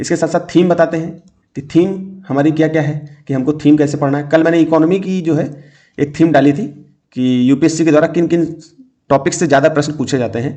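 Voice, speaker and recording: A man speaks at a fairly high pitch with a dark, mellow tone. His intonation stays fairly even. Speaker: exam coaching teacher. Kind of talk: lecture.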